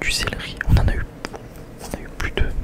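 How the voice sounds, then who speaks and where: A man is whispering. Noticeable background noise is audible. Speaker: ASMR vlogger. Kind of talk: casual vlog talk to camera. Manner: relaxed, hesitant, conversational.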